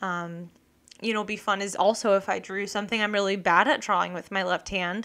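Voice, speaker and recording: Her tone bright and sharp, a woman speaks at medium pitch with monotone, flat intonation. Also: very clean recording, silent background. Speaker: podcast host and illustrator. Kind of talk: casual solo podcast monologue. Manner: fast; rambling, filler-heavy.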